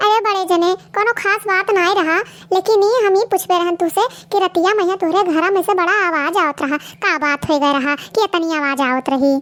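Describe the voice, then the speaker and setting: In a cartoonish character voice pitched extremely high, a woman talks at a moderate pace with ordinary pitch variation and hardly any pauses. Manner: loud, scolding.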